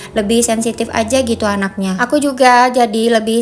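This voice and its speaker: A woman with a fairly high pitch talks at a moderate pace with fairly even intonation. Noticeable background noise runs under her voice. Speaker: vlogger, housewife. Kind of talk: casual vlog narration. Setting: at home, then supermarket. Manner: chatty, friendly.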